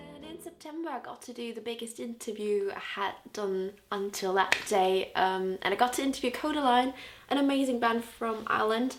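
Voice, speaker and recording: A woman with a Liverpool accent talks at a fairly quick pace with ordinary pitch variation. Her loudness swings widely, and noticeable background noise can be heard. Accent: Scouse. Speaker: music blogger and video host. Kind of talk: casual video recap. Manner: animated.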